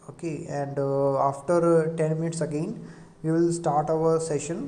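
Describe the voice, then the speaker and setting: The speaker has an Indian accent and a moderate pace, with noticeable background noise behind. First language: Hindi. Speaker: lecturer. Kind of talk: lecture. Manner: halting.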